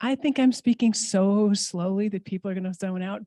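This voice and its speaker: A woman's dark, mellow voice at medium pitch, with ordinary pitch variation and a dry, close sound free of echo. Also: quiet background. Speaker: immigration legal services director. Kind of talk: conference panel talk. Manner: fast; casual.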